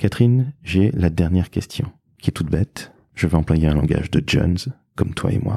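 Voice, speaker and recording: This man has a very deep, low pitch and a dark, mellow tone. He talks at a moderate pace with lively intonation. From Toulouse, southwestern France. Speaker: podcast host, agency founder. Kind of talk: interview. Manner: animated.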